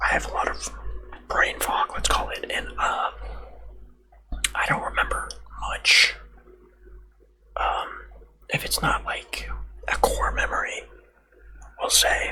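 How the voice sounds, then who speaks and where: Speech comes at a fairly slow pace with long, frequent pauses. Noticeable background noise sits behind it. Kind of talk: casual personal anecdote to camera. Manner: soft-spoken, whispery, rambling with filler words.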